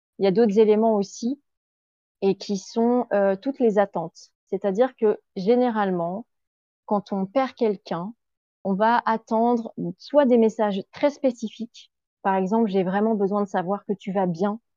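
A woman's unremarkable speaking voice at medium pitch with ordinary pitch variation, in a dry, close sound with no echo. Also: fairly slow pace. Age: 40s. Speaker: grief counselor. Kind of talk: interview.

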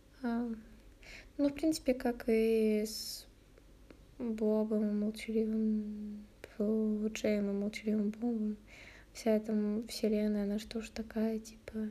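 Very slowly and with long, frequent pauses, a woman speaks in a fairly high, somewhat breathy voice with a dark, mellow tone and monotone, flat intonation. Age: 20s. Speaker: podcaster. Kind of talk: casual solo chat. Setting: at home. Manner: hesitant, with many fillers.

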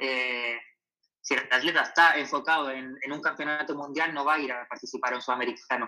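Speaking in a bright, sharp tone, a man holds a moderate pace with fairly even intonation and a fairly high pitch. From Chile. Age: 20s. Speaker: professional distance runner. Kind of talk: interview. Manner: halting, with many repetitions.

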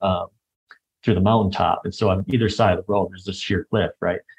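A man with an American accent speaks at a fairly quick pace in a fairly low, somewhat breathy voice, with a dry, close sound and no echo. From Michigan, US Midwest. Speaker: traveler sharing experiences. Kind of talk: casual interview chat.

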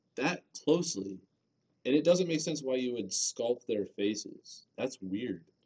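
A man with a plain, everyday voice speaks at medium pitch and a fairly slow pace, his intonation lively. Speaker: podcast co-host. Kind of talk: casual chat. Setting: basement room. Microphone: muffled by face mask.

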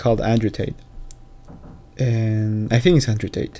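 With a non-native accent, a man speaks at a moderate pace in a dark, mellow tone. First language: not English. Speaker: solo podcaster. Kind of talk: casual monologue. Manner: halting, many repetitions.

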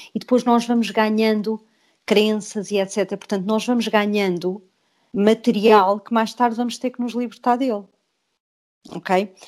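A woman has a normal speaking voice at a medium pitch. She talks at a fairly slow pace with fairly even intonation. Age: 50s. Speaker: author and self-help group facilitator. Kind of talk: interview. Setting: video call.

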